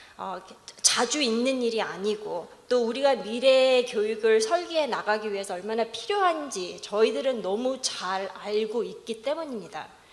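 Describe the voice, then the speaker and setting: A woman's fairly high voice with a non-native accent, lively intonation and a moderate pace, over noticeable background noise with audible room echo. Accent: non-native Korean. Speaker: researcher presenting a study. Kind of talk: conference presentation remarks. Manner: halting.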